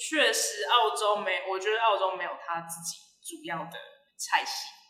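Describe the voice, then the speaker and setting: A woman's bright, sharp tone rings out with audible room echo. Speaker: brunch restaurant owner. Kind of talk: casual interview. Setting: recorded inside her large restaurant. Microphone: echoey, sounds distant.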